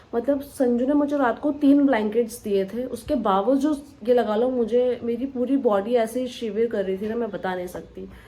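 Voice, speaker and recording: A woman speaks in a high voice. She barely pauses at all. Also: ordinary pitch variation. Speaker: vlogger. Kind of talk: casual vlog talk. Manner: slow.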